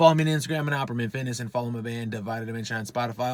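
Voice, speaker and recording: Here a man talks with an American accent and an animated tone. His pace is very fast. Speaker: fitness YouTuber and rock band member. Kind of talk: casual vlog, gym bag show and tell. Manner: animated, profane.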